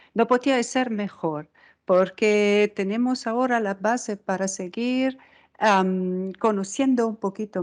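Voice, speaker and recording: A woman with an Italian accent speaks at a fairly slow pace and medium pitch against a quiet background. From Italy. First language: Italian (speaking Spanish). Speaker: microscopy researcher, unit head. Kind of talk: science outreach talk.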